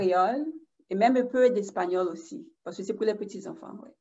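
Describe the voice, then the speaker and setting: This is a woman with an ordinary speaking voice at a medium pitch. Her intonation is lively and her pace moderate. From Haiti. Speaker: elementary school teacher. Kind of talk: casual chat.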